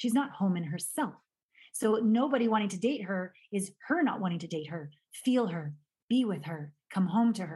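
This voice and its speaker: The voice is somewhat breathy with a dark, mellow tone. It moves at a moderate pace with lively intonation. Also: woman, medium pitch for a woman. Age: 50s. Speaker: intimacy expert. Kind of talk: casual chat.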